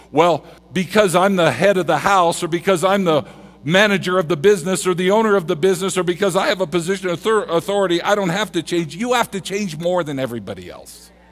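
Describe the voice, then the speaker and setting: A man speaks at a high pitch. His pace is very fast. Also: ordinary pitch variation. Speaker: preacher. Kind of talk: sermon. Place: church. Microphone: headset.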